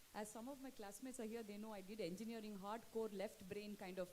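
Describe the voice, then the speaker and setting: There is noticeable background noise. The speaker talks at a fairly quick pace. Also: woman. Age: 50s. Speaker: poet. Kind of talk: book launch talk.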